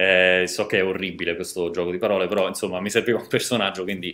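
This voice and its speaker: A man speaks in a very deep, low voice. His tone is bright and sharp. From Rome, Italy; Italy. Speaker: software developer, conference speaker; conference speaker. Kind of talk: conference talk. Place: home room.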